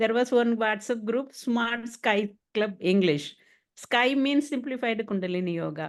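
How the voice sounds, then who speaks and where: A woman's fairly high-pitched voice against a quiet background. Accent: Tamil. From Tamil Nadu, India. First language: Tamil. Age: 60s. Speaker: retired education official and yoga teacher. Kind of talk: online English practice interview. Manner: halting, many fillers.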